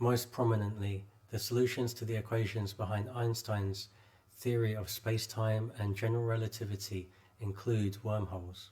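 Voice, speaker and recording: Speaking with a British accent, the man has a dark, mellow tone, a somewhat breathy quality and monotone, flat intonation. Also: fairly low pitch for a man, moderate pace. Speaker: English teacher. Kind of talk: article read aloud for learners. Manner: clear, measured.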